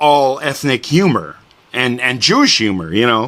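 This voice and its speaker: Noticeable background noise behind a man talking at a moderate pace, his pitch fairly high. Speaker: interviewer. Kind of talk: interview questions.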